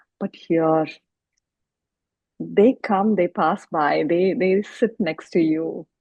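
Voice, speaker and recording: This woman's voice sits at a medium pitch. Her pitch varies in an ordinary way. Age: 50s. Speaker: conservation volunteer. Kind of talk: interview answer.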